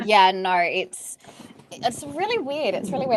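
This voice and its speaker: In an Australian accent, a woman speaks at a moderate pace with very wide pitch swings. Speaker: entrepreneur, stress and burnout coach. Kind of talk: podcast interview. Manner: casual, lots of fillers like 'like'.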